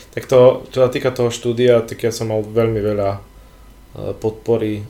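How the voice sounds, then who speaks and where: A man's somewhat breathy voice with a dark, mellow tone, monotone, flat intonation and a moderate pace. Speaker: physician and bodybuilding photographer. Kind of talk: casual chat.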